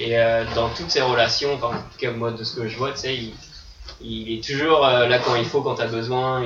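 The man's delivery is monotone, with flat intonation. Noticeable background noise runs under his voice. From France, Vendée. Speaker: ultimate frisbee player. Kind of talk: casual chat. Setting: studio.

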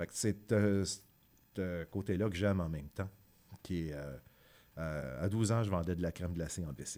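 A man speaks with a very deep, low pitch and a dark, mellow tone. His pace is fairly slow and his pitch variation ordinary. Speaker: musician. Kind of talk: interview.

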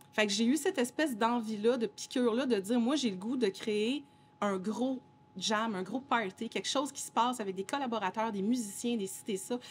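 A woman with an unremarkable speaking voice, fairly high in pitch, with ordinary pitch variation at a moderate pace. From Montreal, Quebec. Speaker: DJ and singer-songwriter. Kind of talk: casual interview.

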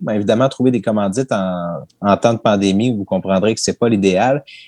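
Heard with a dry, close sound and no echo, a man with an ordinary speaking voice talks at a fairly quick pace with ordinary pitch variation. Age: 30s. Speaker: sports history podcaster. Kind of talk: interview.

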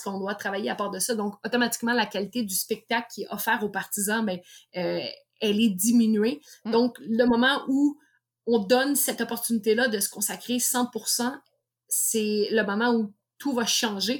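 Speaking at a moderate pace, a woman with a Quebec accent has a fairly high, somewhat breathy voice with ordinary pitch variation. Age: 30s. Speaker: professional boxer. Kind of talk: interview.

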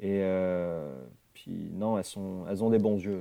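Intonation here is fairly even. The tone comes across as dark and mellow. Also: man. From France, the Alps. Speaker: fly fishing guide and instructor. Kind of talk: casual interview.

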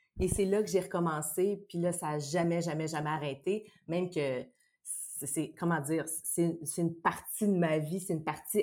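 Her voice has a dark, mellow tone and a fairly low pitch. This woman speaks at a fairly slow pace with fairly even intonation. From Quebec, Saint-Bruno on Montreal's South Shore. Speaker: actress, tennis enthusiast. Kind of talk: casual chat.

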